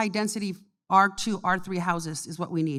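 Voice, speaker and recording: In a very clean recording with a silent background, a woman with an unremarkable speaking voice speaks with an American accent, medium pitch and ordinary pitch variation. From California, San Benito County. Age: 60s. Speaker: county supervisor, election candidate. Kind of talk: candidate forum answers.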